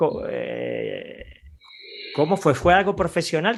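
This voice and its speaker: A man speaks at a fairly slow pace. His pitch is high for a man. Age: 50s. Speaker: radio host. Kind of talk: interview.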